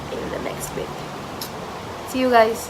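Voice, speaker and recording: The speaker is a woman. Her voice carries audible room echo along with noticeable background noise. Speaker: beauty vlogger. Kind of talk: vlog intro.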